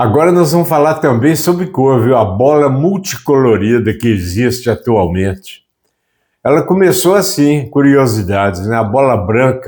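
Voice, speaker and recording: A man's pitch swings very widely. His loudness stays very even. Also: medium pitch for a man, moderate pace. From Brazil. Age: 80s+. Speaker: YouTube presenter. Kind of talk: reading prepared trivia notes. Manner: conversational, folksy.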